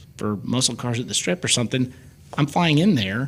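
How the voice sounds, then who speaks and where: In an American accent, a man at medium pitch talks with lively intonation in a normal speaking voice. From US Midwest, Belleville Illinois. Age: 50s. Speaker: car photographer. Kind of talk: casual chat.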